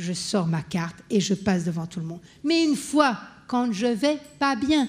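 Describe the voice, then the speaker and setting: Somewhat breathy, a woman speaks at a fairly slow pace and medium pitch, her voice making very wide pitch swings. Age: 60s. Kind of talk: conference panel talk. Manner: animated.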